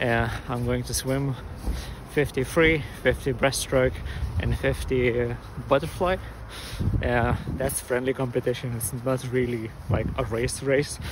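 The speech has long, frequent pauses and ordinary pitch variation. The sound is dry with no echo, and background noise is noticeable. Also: man. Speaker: vlogger training for a triathlon. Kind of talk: casual vlog chat. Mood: relaxed, curious. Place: street. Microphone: phone near.

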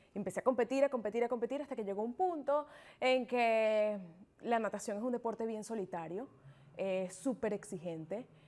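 This woman has a fairly high pitch and a dark, mellow tone, talking at a moderate pace with ordinary pitch variation. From Venezuela. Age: 20s. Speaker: triathlete; interview guest. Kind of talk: interview. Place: studio. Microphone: lapel.

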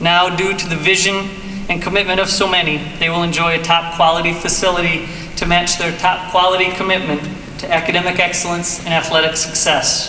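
Light background noise and audible room echo surround a man's voice. He talks at a fairly quick pace with a high pitch and monotone, flat intonation. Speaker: college president, ceremony host. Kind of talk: formal ceremony speech. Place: hall. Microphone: podium.

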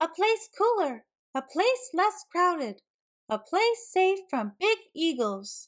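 In a put-on character voice, a woman speaks slowly at an extremely high pitch with big pitch swings.

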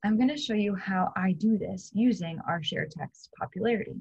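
The voice is somewhat breathy, with lively intonation. It moves at a moderate pace against a quiet background. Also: woman. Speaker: teacher. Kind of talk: lesson to students. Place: home room. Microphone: webcam.

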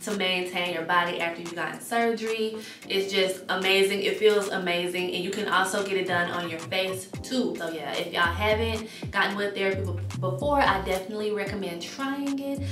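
A woman speaks at a fairly quick pace with clear music playing behind her. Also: ordinary pitch variation. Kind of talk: casual vlog chat.

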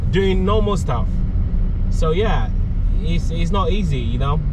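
Loud background noise runs through the clip. The sound is dry with no echo. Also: man. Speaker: driver vlogger. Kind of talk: casual vlog chat. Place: car.

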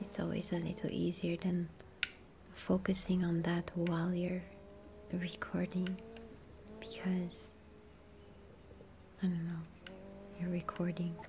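A soft-spoken woman, fairly low in pitch, at a fairly slow pace with long, frequent pauses and monotone, flat intonation. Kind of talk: ASMR gaming ramble.

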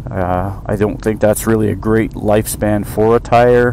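With noticeable background noise behind him, a man speaks at a moderate pace in a fairly low pitch. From Canada, eastern Ontario. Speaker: motorcycle vlogger. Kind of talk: casual monologue. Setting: in a car. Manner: hesitant, many fillers.

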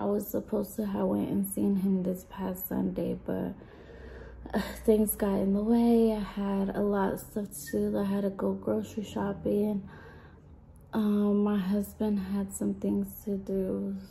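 A woman talks at a fairly slow pace. Light background noise can be heard. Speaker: salon worker vlogger. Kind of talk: casual vlog chat. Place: shop. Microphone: phone near.

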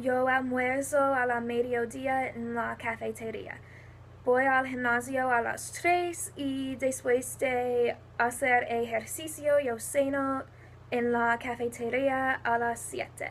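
A high-pitched woman with an American accent, very slow and monotone, her intonation flat. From New Jersey, US. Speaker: university student. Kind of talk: self-introduction for a Spanish class.

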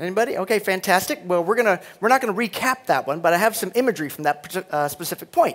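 A man talks at a very fast pace with a high pitch. His intonation is lively. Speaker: conference speaker. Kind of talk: conference keynote. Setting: stage with audience. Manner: animated. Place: hall. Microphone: headset.

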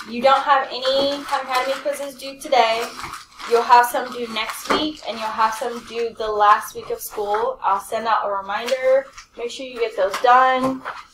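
Light background noise and audible room echo surround a woman with a high pitch who speaks at a moderate pace with fairly even intonation. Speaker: math teacher. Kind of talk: classroom announcements to students. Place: classroom.

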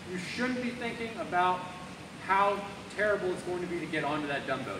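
Noticeable background noise is present. Over it, a man talks at a moderate pace. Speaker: fitness coach. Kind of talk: workout instruction. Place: gym. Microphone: camera far.

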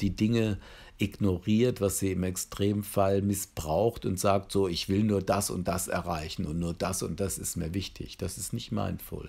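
Somewhat breathy and very deep in pitch, a man talks at a fairly slow pace. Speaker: psychotherapy trainer. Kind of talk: lecture. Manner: hesitant with filler sounds.

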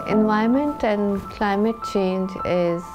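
The voice shows ordinary pitch variation, with clear music in the background. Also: woman. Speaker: aerospace engineer, company founder. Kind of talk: interview answer. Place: home room.

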